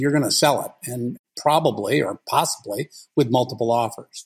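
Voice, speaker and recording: This man's voice comes across as somewhat breathy. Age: 70s. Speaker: retired real estate broker. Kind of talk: casual interview chat.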